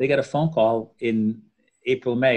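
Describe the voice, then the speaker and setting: Over a quiet background, a man talks at a moderate pace. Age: 50s. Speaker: orthopaedic spine surgeon; guest. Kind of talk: interview. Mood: confident, advising. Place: home room. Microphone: video call.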